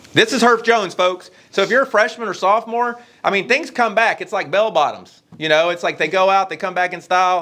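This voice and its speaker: Raised and projected, a man's bright, sharp, high-pitched voice races at a very fast pace with ordinary pitch variation. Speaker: high school principal. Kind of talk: school morning announcements. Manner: casual, animated.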